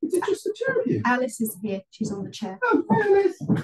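A woman speaks in a calm, relaxed tone at a moderate pace, with very wide pitch swings over light background noise. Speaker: yoga instructor. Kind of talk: live guided yoga class, calm step-by-step cueing. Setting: video call, online class via headset. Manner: calm, instructive, relaxed and chatty between cues, with light laughs. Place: home room. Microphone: camera far.

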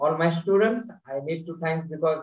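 In an Indian accent, a man speaks at a fairly slow pace with fairly even intonation. There is audible room echo over a quiet background. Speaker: university teacher educator; host, moderator from partner university. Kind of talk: audience question and closing thanks. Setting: video call. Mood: warm, smiling. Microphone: video call.

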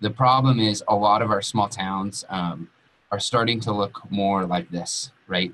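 With a Western US accent, a man talks at a very slow pace, using a fairly low pitch and fairly even intonation. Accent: General American (Western US). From Colorado, Western Slope (Grand Junction); Colorado. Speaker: entrepreneur, co-working space owner; webinar presenter. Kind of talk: webinar presentation. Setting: online webinar. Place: home room. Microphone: webcam.

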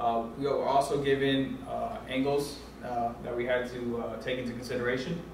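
A man speaks with fairly even intonation over light background noise. Audible room echo surrounds his voice. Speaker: presenter. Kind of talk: class presentation. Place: classroom. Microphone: camera far.

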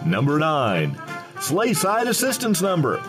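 Over music in the background, a man with a fairly high pitch sounds upbeat, his pitch swinging very widely. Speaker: voice actor. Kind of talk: holiday light show voiceover, comedic countdown.

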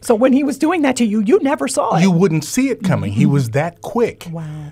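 A man talks with very wide pitch swings, moving at a fairly quick pace. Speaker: radio show guest or host. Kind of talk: radio interview, personal anecdote. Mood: warm, amused reminiscing. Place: studio. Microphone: studio mic.

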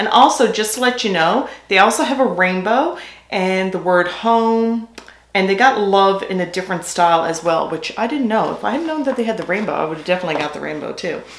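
In a room with audible echo, a woman speaks at a fairly quick pace and a medium pitch. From Newfoundland, Canada. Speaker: beauty and lifestyle YouTuber; lifestyle YouTuber. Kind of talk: product haul video. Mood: cheerful, chatty. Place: home room.

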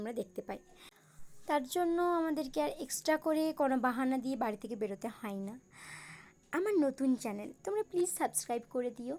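A high-pitched woman's voice with a dark, mellow tone and lively intonation, on a very clean recording with a silent background. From Bankura district, West Bengal, India. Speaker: YouTube vlogger. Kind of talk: vlog narration. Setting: outdoors by a flooded river and bridge.

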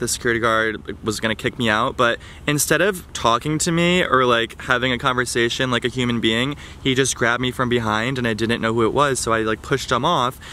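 Ordinary pitch variation at a fairly quick pace, with light background noise and a dry sound with no echo. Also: man. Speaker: vlogger. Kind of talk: casual vlog chat, storytelling. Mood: amused, animated storytelling. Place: garden. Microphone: phone near.

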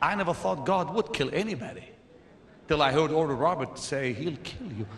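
With audible room echo and light background noise, a man talks at a moderate pace using very wide pitch swings. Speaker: preacher. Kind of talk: sermon. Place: church. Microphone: handheld.

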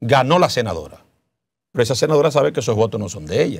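A man speaks over a quiet background, his pitch varying in an ordinary way. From Dominican Republic. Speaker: senate pre-candidate, politician; candidate, politician. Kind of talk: interview. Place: studio. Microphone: lapel.

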